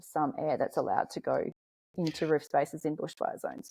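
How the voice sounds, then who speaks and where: On a very clean recording with a silent background, a woman's speech keeps a moderate pace. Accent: Australian. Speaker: podcast host. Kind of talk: interview conversation.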